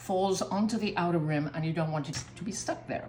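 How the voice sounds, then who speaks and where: A woman's voice with very wide pitch swings and music in the background. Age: 80s+. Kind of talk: cooking demonstration. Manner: casual, chatty.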